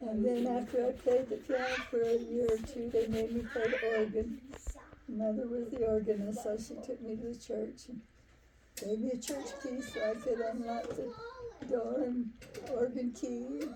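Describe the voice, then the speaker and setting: A woman with an American accent speaks at a high pitch and a moderate pace in a monotone, flat intonation. Audible room echo and noticeable background noise are present. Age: 80s+. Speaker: grandmother and church organist. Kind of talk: family reminiscence.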